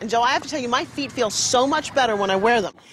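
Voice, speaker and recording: A woman talks at a very fast pace in a high voice. Noticeable background noise runs underneath. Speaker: television host and product presenter. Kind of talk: infomercial presentation.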